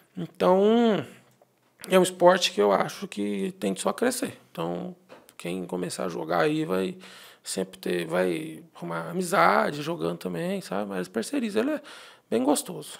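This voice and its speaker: The background is quiet as a man speaks at a fairly slow pace. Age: 30s. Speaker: accountant; guest. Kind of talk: interview. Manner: halting. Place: studio. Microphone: studio mic.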